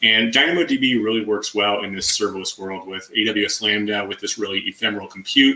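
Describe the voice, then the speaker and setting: A man's very fast speech with hardly any pauses, fairly low pitch and ordinary pitch variation, over noticeable background noise. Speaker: tech conference speaker. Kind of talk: technical presentation.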